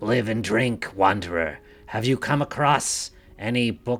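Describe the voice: A man does a put-on character voice, pitched medium and paced moderately.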